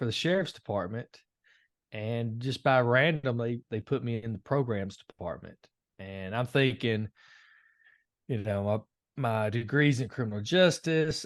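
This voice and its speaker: Against a quiet background, a man at medium pitch speaks at a moderate pace with a Tennessee accent. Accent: Southern US (Tennessee). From Tennessee, Nashville. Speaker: Marine veteran, anger management coach. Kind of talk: podcast interview. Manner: hesitant, many fillers.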